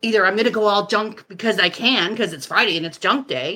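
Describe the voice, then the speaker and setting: The tone is bright and sharp. Delivery comes at a fairly quick pace. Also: woman. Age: 40s. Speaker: podcast guest sharing personal story. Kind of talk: casual interview chat.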